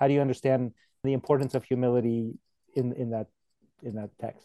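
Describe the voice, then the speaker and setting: A man speaks in a dark, mellow tone. The sound is dry and close, with no echo. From Poland. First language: Polish. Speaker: podcast host. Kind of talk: interview conversation.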